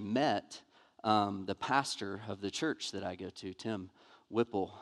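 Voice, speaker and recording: A man's fairly low voice in a Southern US accent, monotone and flat, with a dry, close sound free of echo and a quiet background. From US South, Montgomery, Alabama. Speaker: pastor. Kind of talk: sermon. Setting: church.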